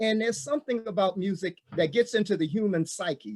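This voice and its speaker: A man talks with lively intonation. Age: 60s. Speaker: jazz entertainer. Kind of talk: panel discussion.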